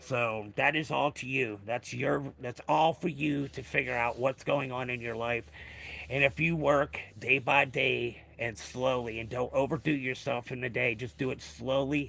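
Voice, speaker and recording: With vocal fry and a bright, sharp tone, a man speaks at medium pitch and a fairly slow pace. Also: ordinary pitch variation. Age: 50s. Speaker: live streamer. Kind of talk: casual livestream chat. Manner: halting.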